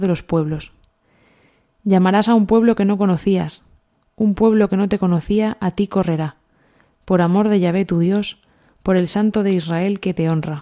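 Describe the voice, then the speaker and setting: A woman's dark, mellow tone with very even loudness, broken by long, frequent pauses. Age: 30s. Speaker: pediatrician, parish community member. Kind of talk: scripture reading. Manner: halting.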